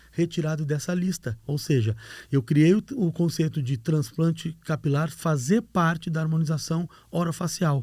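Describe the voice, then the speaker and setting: The recording is very clean with a silent background. A man speaks at a moderate pace in a high, dark, mellow voice with ordinary pitch variation. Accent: Rio Grande do Sul. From Rio Grande do Sul, southern Brazil. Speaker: hair transplant doctor, professor. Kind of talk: podcast interview. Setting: studio.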